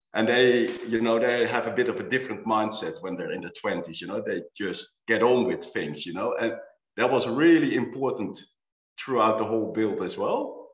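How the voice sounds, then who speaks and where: A man speaks at a moderate pace against a quiet background. Room echo is audible. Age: 50s. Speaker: architect and owner builder. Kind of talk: panel discussion. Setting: video call. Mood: relaxed, reflective. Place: home room. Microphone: webcam.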